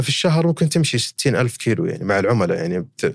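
A man with an ordinary speaking voice talks at a fairly quick pace and a fairly high pitch. The recording is very clean, with a silent background. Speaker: company CEO. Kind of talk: casual interview.

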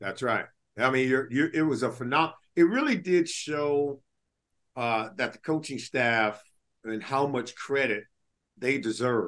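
In a quiet background, a man with an American accent speaks at a moderate pace in a medium pitch with ordinary pitch variation and long, frequent pauses. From Los Angeles, California. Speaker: podcast host, former NFL player. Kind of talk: casual sports chat.

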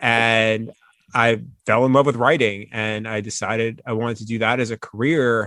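This man speaks in a bright, sharp tone with monotone, flat intonation. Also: medium pitch for a man, moderate pace. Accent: American. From Long Island, New York. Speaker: sports reporter. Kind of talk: casual chat.

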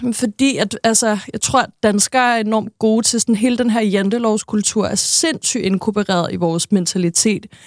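This woman speaks at a moderate pace with hardly any pauses, fairly high pitch, fairly even intonation and very even loudness, in a plain, everyday voice. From Denmark, Næstved (Zealand). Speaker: TV personality. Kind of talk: interview. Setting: studio.

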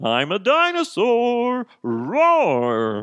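This is a put-on character voice. Its pitch sits fairly high. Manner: loud, comical roar.

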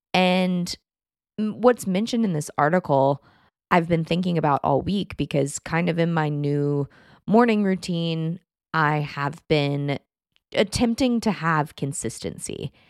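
At a fairly slow pace, a woman with an American accent speaks in an unremarkable speaking voice, fairly low in pitch with lively intonation, on a very clean recording with a silent background and a dry, close sound with no echo. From Texas. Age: 20s. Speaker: podcast host and writer. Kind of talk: solo podcast monologue. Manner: casual, chatty with laughs.

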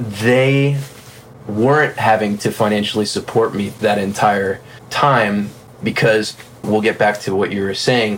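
With an American accent, a man talks at a fairly slow pace in a fairly low pitch, using ordinary pitch variation and leaving long, frequent pauses. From South Florida. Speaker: session drummer. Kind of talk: casual interview. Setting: studio.

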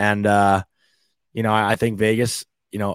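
On a very clean recording with a silent background, a man speaks with monotone, flat intonation at a fairly low pitch. The sound is dry and close, with no echo. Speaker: hockey podcast co-host. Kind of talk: casual sports banter.

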